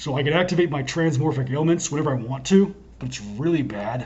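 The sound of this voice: Using a put-on character voice, a man rattles along at a very fast pace with a fairly high pitch. His voice is hoarse and raspy, with light background noise behind it.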